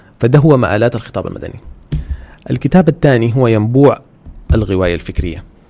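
His voice has a dark, mellow tone at a medium pitch, and his intonation is lively. The man keeps a moderate pace but leaves long, frequent pauses. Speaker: podcast host. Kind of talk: religious talk.

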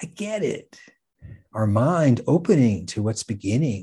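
Against a quiet background, a man speaks very slowly in a dark, mellow, somewhat breathy voice with very wide pitch swings. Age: 60s. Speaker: astrologer podcast host. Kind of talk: scripted monologue.

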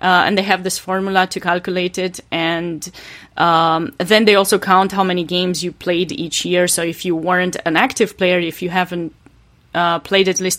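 With a Romanian accent, a woman speaks at a moderate pace. Her intonation stays fairly even. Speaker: chess player. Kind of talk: interview. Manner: hesitant, many fillers.

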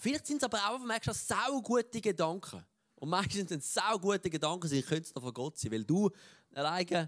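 A man speaks at a high pitch with very wide pitch swings and a fairly quick pace. The recording is very clean with a silent background and a dry, close sound with no echo. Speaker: preacher. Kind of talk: sermon. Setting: church.

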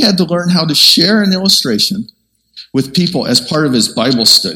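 A high-pitched man talks at a moderate pace with lively intonation. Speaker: preacher. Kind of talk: sermon.

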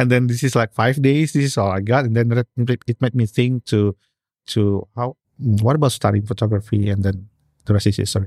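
A man speaks with an Indonesian accent at a fairly quick pace, with fairly even intonation and very even loudness. The recording is very clean with a silent background, the sound dry and close with no echo. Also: medium pitch for a man. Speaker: portrait photographer. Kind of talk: casual interview. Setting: studio. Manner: halting.

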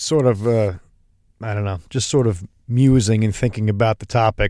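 A man speaks at a medium pitch and a moderate pace, in a plain, everyday voice. The sound is dry and close with no echo. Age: 40s. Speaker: podcast host. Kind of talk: casual interview.

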